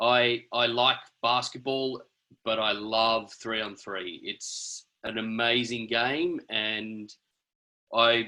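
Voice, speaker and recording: Bright and sharp in tone, a man talks with an Australian accent. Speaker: basketball referee. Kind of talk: video call discussion.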